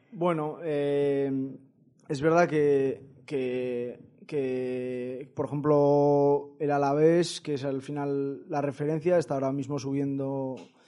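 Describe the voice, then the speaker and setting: Very slow and monotone, the voice has a flat intonation and a dark, mellow tone. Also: man, fairly high pitch for a man. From Basque Country, Vitoria. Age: 20s. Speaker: football coach and author. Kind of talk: interview. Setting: studio. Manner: halting.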